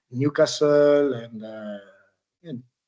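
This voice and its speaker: A man with a French accent speaks in a dark, mellow tone at a fairly high pitch for a man. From France, Troyes. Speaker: retired footballer. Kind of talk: interview. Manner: hesitant, many fillers.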